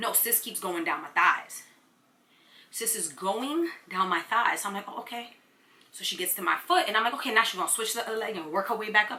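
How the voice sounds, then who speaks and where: With an American accent, a woman talks very fast and with lively intonation over noticeable background noise. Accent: New York, Nuyorican. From Brooklyn, New York. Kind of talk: casual story time to camera. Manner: animated, comedic.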